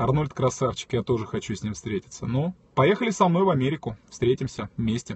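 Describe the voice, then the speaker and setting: A man, somewhat breathy, at a fairly slow pace, in a dry sound with no echo. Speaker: streamer. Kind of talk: casual live stream chat reading comments. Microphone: phone near.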